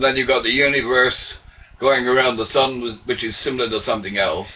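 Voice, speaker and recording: Noticeable background noise sits behind a man speaking at a medium pitch. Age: 70s. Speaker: retired former merchant seaman sharing theories. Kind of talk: casual webcam monologue. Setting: webcam recording. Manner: halting, with repetitions and fillers.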